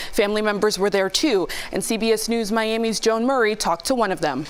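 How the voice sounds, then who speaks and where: Over noticeable background noise, a woman talks fairly quickly at a fairly high pitch. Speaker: news anchor. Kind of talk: news reading.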